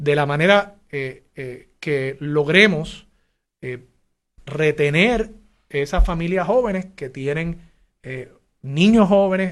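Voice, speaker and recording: In a normal speaking voice, a man talks at a fairly high pitch with ordinary pitch variation. The background is quiet. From Puerto Rico (Levittown). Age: 40s. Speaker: mayoral candidate. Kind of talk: interview.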